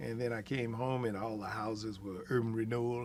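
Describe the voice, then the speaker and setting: Audible room echo surrounds a man as he talks. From Texas, Austin (East Austin). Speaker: oral history interviewee. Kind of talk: oral history interview. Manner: hesitant, many fillers.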